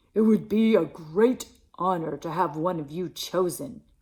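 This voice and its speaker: In a put-on character voice, a female-sounding speaker growls at a middle pitch and a moderate pace. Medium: read story.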